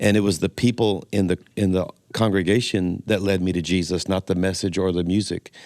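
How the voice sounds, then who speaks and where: A man with a Southern US accent and a very deep, low pitch speaks at a fairly quick pace in a monotone, flat intonation, in a dry, close, very clean recording with no echo and a silent background. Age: 60s. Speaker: pastor. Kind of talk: podcast interview.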